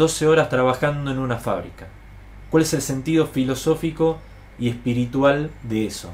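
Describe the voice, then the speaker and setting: A man talks in a normal speaking voice at a medium pitch. He speaks at a fairly slow pace with ordinary pitch variation. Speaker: political educator. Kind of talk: lecture. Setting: live stream to online audience.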